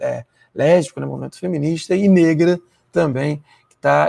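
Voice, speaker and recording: A quiet backdrop and a male speaker at a moderate pace. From Rio de Janeiro, Baixada Fluminense; Rio de Janeiro. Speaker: university professor. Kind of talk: lecture. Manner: hesitant fillers, frequent né. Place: home room. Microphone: lapel.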